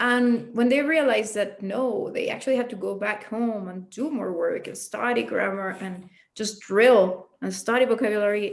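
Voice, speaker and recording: A woman with a slight Mexican accent speaks at a moderate pace, with hardly any pauses and big swings in loudness. Her pitch is fairly high and varies an ordinary amount. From Mexico City. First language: Spanish. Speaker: English teacher. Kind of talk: interview.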